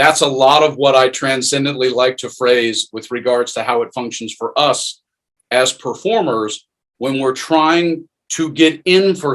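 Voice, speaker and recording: At a fairly slow pace, a man with an American accent talks in an unremarkable speaking voice at a medium pitch. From US South. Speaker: acting coach. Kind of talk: online workshop. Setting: video call.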